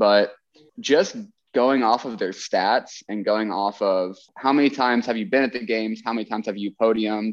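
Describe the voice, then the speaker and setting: Against a quiet background, a man with an ordinary speaking voice talks at a moderate pace and medium pitch with fairly even intonation. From Texas. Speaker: chiropractor and former CrossFit athlete. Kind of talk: casual interview.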